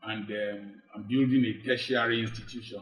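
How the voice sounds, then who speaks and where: A medium-pitched man with a Nigerian accent at a moderate pace, flat and monotone, with music in the background. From Nigeria, Delta (Urhobo). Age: 60s. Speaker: medical doctor and life coach. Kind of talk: interview with preaching style. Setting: studio.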